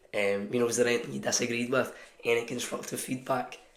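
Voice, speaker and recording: A man at medium pitch talking at a very fast pace in a flat monotone, with audible room echo and noticeable background noise. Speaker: fitness coach. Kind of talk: talking-head advice video. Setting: office. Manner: casual, filler-heavy.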